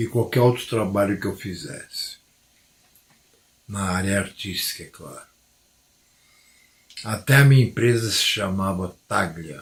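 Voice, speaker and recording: A man with a fairly low, somewhat breathy voice speaks at a fairly slow pace with ordinary pitch variation, long, frequent pauses and big swings in loudness. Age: 60s. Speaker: former pastor, religious commentator. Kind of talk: religious monologue to camera.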